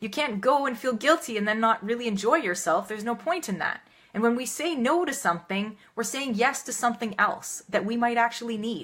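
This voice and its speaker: At a fairly quick pace and with hardly any pauses, a woman speaks in a fairly high pitch with an energetic tone. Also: lively intonation. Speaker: health and wellness coach. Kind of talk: live video tips talk. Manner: fast.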